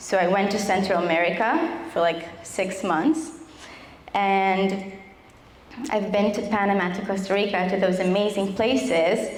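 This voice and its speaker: A woman talks with an Israeli accent. There is noticeable background noise and audible room echo. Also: medium pitch for a woman, ordinary pitch variation. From Israel, Tel Aviv. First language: Hebrew. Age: 20s. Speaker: survivor giving testimony. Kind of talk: testimony.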